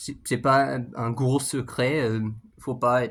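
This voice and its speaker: With a normal amount of pitch movement, a man's voice comes through on a very clean recording where the background is silent. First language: English (speaking French). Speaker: YouTuber, language learner. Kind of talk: casual vlog monologue. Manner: halting, many fillers and repetitions.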